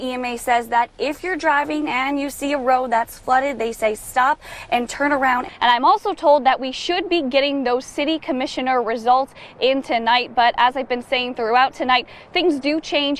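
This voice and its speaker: Noticeable background noise sits under a voice with an American accent. The delivery has ordinary pitch variation and a moderate pace. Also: woman, high pitch for a woman. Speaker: TV news reporter. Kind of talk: TV news reporter reel, live and packaged stand-ups.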